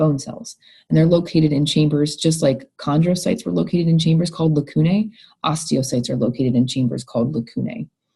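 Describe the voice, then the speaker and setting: Fairly quick and somewhat breathy, a woman talks in a very deep, low pitch with a dark, mellow tone and lively intonation. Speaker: college biology instructor. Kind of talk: recorded lecture.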